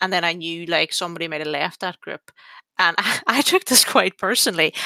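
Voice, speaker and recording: In an Irish accent, a woman speaks at a moderate pace with a bright, sharp tone, on a very clean recording with a silent background and a dry, close sound free of echo. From Ireland. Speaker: podcast host. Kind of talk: casual chat.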